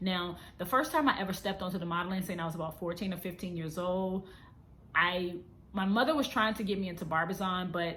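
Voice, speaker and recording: Audible room echo surrounds a woman talking at a very fast pace, her bright, sharp tone set at a medium pitch with ordinary pitch variation. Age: 30s. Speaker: vlogger and model. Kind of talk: casual vlog monologue. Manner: unscripted, conversational.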